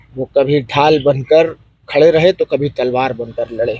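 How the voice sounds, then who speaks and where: A somewhat breathy man with a fairly high pitch and a dry, close sound with no echo. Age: 20s. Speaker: son of deceased politician. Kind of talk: press interview.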